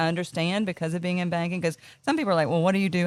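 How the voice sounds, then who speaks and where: Talking at a very fast pace, a woman has a fairly low pitch and a North Carolina accent. Her tone is animated. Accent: Southern US, North Carolina. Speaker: business owner. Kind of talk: casual interview.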